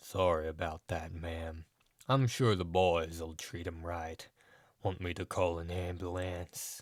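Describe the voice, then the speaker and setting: On a very clean recording with a silent background, a man puts on a husky character voice with very deep, low pitch, fairly even intonation and a fairly slow pace. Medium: read story.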